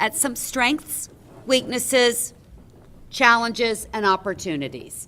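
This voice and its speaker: Lively in intonation, a woman speaks at a moderate pace in a high pitch with a bright, sharp tone. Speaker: meeting facilitator. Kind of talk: facilitated business meeting.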